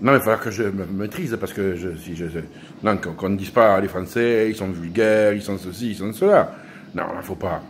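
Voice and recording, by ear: At a moderate pace with few pauses, a man speaks in a low pitch with ordinary pitch variation.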